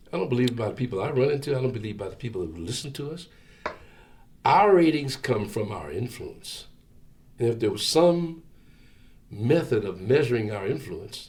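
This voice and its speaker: This man speaks at a medium pitch and a fairly quick pace, his voice somewhat breathy and his intonation lively. His loudness swings widely, long pauses come often, and the room echo is audible. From Philadelphia area, Pennsylvania. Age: 70s. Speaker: radio station general manager. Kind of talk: oral history interview. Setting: radio studio.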